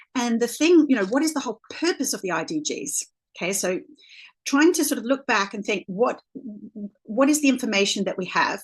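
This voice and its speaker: A woman with an Australian accent talks fairly quickly in a high voice with very wide pitch swings over a quiet background. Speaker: leadership coach. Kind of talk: presentation. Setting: video call. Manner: halting, many fillers.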